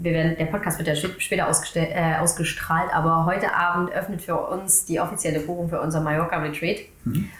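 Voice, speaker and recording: Audible room echo and noticeable background noise accompany a woman's speech. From Saxony, Germany. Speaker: marketing agency owner. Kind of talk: casual interview chat.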